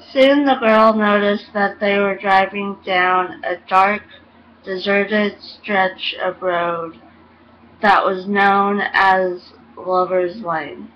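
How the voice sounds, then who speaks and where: Over noticeable background noise, a woman speaks at a very slow pace, at a medium pitch and with fairly even intonation. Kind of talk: ghost story reading.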